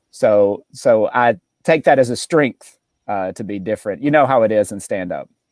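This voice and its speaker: With a Southern accent, a man talks at a moderate pace and medium pitch with ordinary pitch variation and big swings in loudness, in a dry, close sound with no echo. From Mississippi, US South. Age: 30s. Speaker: stand-up comedian. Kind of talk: casual interview chat.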